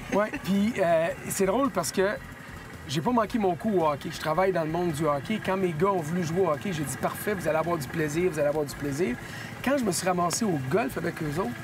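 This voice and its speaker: A man in a Quebec accent, high-pitched and fairly quick, over noticeable background noise. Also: ordinary pitch variation. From Quebec, Sherbrooke. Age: 50s. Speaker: hockey journalist, golf guest. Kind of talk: casual interview. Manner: hesitant with many fillers.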